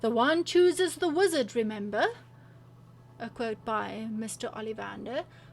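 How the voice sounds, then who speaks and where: Music sounds in the background as a woman speaks fairly slowly. Her voice is fairly high, with ordinary pitch variation. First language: not English. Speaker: gaming/lifestyle YouTuber. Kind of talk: casual vlog reading quiz results aloud. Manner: animated.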